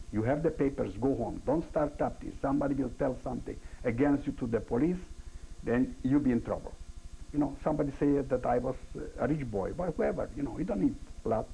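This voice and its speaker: A man's somewhat breathy voice, fairly high-pitched, with a dark, mellow tone, ordinary pitch variation, a non-native accent and a fairly quick pace. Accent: foreign. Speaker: Holocaust-era survivor witness. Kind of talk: oral history interview. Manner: halting.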